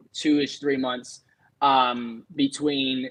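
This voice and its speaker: Very slowly, a man talks at a medium pitch. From California. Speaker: musician. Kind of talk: casual chat.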